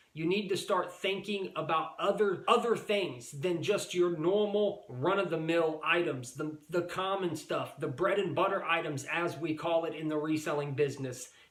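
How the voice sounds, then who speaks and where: A man with a high voice speaks at a moderate pace with ordinary pitch variation and hardly any pauses. Noticeable background noise is present. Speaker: reseller YouTuber. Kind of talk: casual vlog monologue. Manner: animated.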